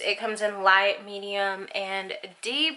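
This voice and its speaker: A woman with a Southern US accent speaks fairly slowly in a bright, sharp tone. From Arkansas, USA. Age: 20s. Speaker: beauty YouTuber. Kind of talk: casual talk to camera.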